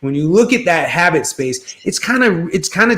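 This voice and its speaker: Bright and sharp in tone, a man with a New York accent speaks with lively intonation. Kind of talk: live stream interview.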